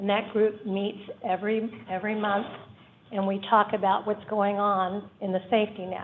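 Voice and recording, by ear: A woman speaks at a moderate pace. Her pitch moves very little.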